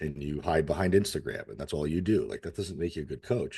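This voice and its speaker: A man with an American accent talks at a very fast pace in a dark, mellow tone, his pitch varying in an ordinary way and his voice showing vocal fry. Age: 40s. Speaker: fitness coach. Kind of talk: casual interview chat. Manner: animated.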